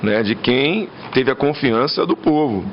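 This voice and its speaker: A man with a medium pitch and ordinary pitch variation talks over noticeable background noise. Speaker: gubernatorial candidate, military police colonel. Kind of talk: interview Q&A.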